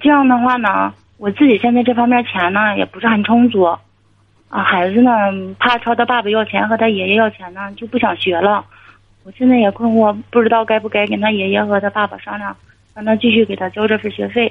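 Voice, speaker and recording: A woman's plain, everyday voice, fairly high in pitch, at a fairly quick pace, with fairly even intonation and big swings in loudness. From Inner Mongolia. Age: 40s. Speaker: caller. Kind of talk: advice call-in.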